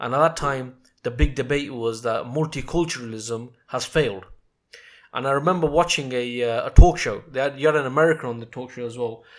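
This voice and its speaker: A man's medium-pitched voice with a British accent, a fairly quick pace, ordinary pitch variation and big swings in loudness, in a very clean recording with a silent background. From England. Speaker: podcast host. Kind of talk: podcast interview.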